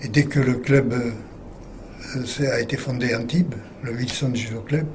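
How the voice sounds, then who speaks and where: Over noticeable background noise and audible room echo, a man speaks at a fairly slow pace with fairly even intonation. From French Riviera, Provence. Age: 80s+. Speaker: retired judo teacher. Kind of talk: interview. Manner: halting.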